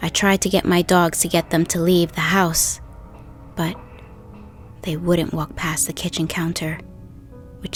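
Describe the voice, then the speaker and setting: A woman speaks at a moderate pace with a fairly low pitch. Music plays in the background. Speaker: horror story narrator. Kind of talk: true scary story narration.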